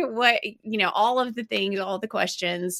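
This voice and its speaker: A woman with an Alabama accent speaks at a moderate pace. Her voice is fairly high, with a bright, sharp tone. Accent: Southern US (Alabama). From US South, Alabama (Birmingham). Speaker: business owner, parenting website founder. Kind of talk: interview.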